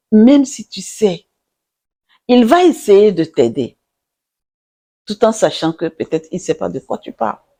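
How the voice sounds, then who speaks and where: The speech moves at a fairly slow pace with long, frequent pauses while music plays in the background. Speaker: relationship advice vlogger. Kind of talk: casual advice monologue. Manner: animated.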